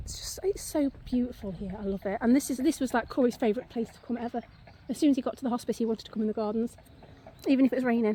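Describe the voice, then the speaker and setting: There is noticeable background noise. A woman talks at a very fast pace with a high pitch. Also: ordinary pitch variation, big swings in loudness. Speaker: vlogger. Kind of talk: casual vlog walk-and-talk. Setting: outdoors.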